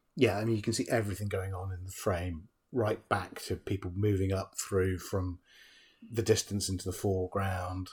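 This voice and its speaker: Very deep and low, a man's somewhat breathy voice moves at a moderate pace in a monotone, flat delivery, recorded very cleanly with a silent background. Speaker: film podcast host. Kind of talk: casual chat. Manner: conversational, bantering.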